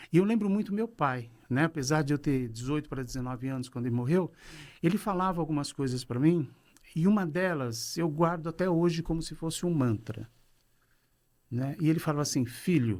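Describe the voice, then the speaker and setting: A normal speaking voice moves at a moderate pace with lively intonation. The recording is very clean, with a silent background. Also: man, fairly high pitch for a man. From Brazil, São Paulo. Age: 60s. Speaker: business consultant and coach. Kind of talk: podcast interview. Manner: relaxed conversational.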